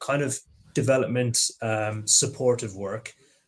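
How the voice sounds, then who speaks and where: A man with an Irish accent, fairly low in pitch, very slow, and monotone with flat intonation. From Ireland, Limerick. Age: 30s. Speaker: process engineer. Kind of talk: live Q&A.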